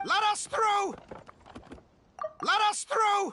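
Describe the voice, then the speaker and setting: It's a put-on character voice. The pitch is extremely high and squeaky. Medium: video game. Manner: gruff, curt.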